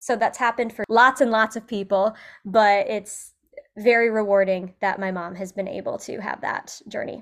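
A woman with a normal speaking voice talks at a moderate pace and a fairly high pitch, her intonation fairly even but her loudness swinging widely. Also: quiet background. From US Midwest, central Illinois. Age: 30s. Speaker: fitness coach. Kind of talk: casual interview.

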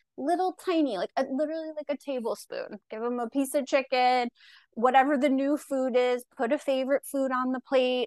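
A woman with an American accent speaks at a high pitch against a quiet background. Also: ordinary pitch variation, moderate pace, dry, close sound with no echo. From Long Island, New York. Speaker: registered dietitian. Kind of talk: casual interview chat.

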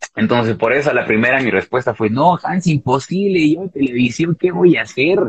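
A man speaks with lively intonation in a somewhat breathy voice. The sound is dry and close, with no echo. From Bolivia. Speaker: TV presenter. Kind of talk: interview.

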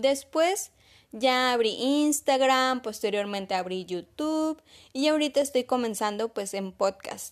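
Over a quiet background, a woman speaks at a fairly slow pace with a high pitch and lively intonation. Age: 20s. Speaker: podcast host, mom blogger. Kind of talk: solo podcast monologue.

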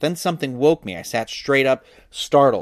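A man talks at a fairly quick pace and a fairly high pitch, with ordinary pitch variation and an enthusiastic tone. The sound is dry and close, with no echo. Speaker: podcast host reading a book aloud. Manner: dramatic, hushed and tense when narrating; voices characters with shifts in tone; casual, chatty and enthusiastic outside the reading.

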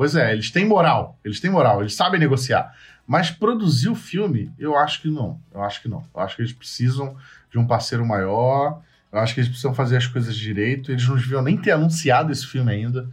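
Against a quiet background, a man with a medium pitch speaks fairly quickly, somewhat breathy, with lively intonation. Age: 30s. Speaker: podcast host. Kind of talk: casual chat. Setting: remote call via chat.

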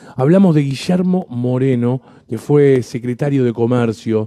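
The voice has a dark, mellow tone and a Rioplatense accent, moving at a fairly slow pace with ordinary pitch variation. The sound is dry and close, with no echo. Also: man. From Buenos Aires Province, Argentina (General Madariaga area). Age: 30s. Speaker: radio host. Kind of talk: radio interview.

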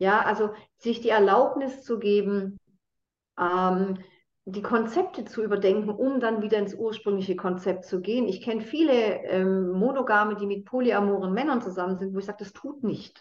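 At a moderate pace, a woman talks in a medium pitch with ordinary pitch variation and an unremarkable speaking voice. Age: 50s. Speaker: consciousness trainer and addiction coach. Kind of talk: casual interview conversation.

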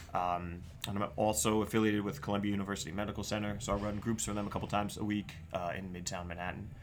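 In a room with audible echo, a man with a fairly low pitch speaks very fast with fairly even intonation. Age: 30s. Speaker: psychotherapist. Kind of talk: casual chat. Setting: studio.

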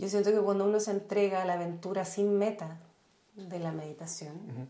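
With a Chilean accent, a woman speaks at a moderate pace, medium in pitch with fairly even intonation. Noticeable background noise and audible room echo surround her. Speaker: journalist and meditation teacher. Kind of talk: casual interview conversation.

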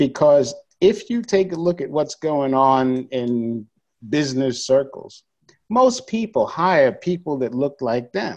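Speaking very slowly with lively intonation, a man with an American accent has a fairly high voice. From New York City (Bronx). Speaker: education consultant. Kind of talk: casual chat.

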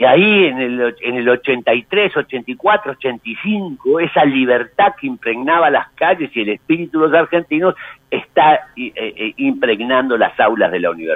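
Very slowly, a man speaks at a fairly high pitch that swings very widely. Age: 60s. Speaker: history professor and university administrator. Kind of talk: interview, lecture-like explanation.

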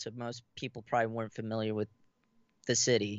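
This man speaks at a medium pitch. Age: 30s. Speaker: horror author and film actor. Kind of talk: casual interview. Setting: studio, live stream, in person. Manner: halting.

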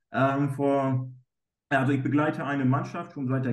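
Audible room echo accompanies a man speaking at a moderate pace. His pitch is fairly high. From northern Germany, East Frisia. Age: 30s. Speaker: goalkeeper coach. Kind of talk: interview.

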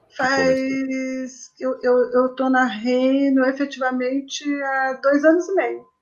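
Speaking very slowly with hardly any pauses, a woman keeps a monotone, flat intonation at a high pitch. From Brazil, São Paulo. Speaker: journalist and book publishing consultant. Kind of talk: casual interview.

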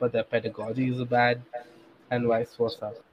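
A man with an Indian accent, at a moderate pace. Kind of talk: casual chat.

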